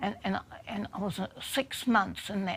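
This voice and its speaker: Speaking with a New Zealand accent, a woman keeps a moderate pace. Vocal fry runs through her voice. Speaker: human rights self-advocate. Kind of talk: documentary interview.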